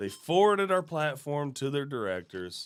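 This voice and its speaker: In a very clean recording with a silent background, a man with a fairly high pitch talks at a moderate pace, his pitch swinging very widely. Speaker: podcast host and film producer. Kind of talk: casual chat. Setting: studio. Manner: halting, stumbling over words.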